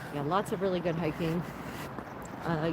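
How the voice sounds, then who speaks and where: A woman's voice with an American accent over noticeable background noise. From United States. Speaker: travel vlogger. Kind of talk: casual chat. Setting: outdoors. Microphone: no microphone, must stay near the camera.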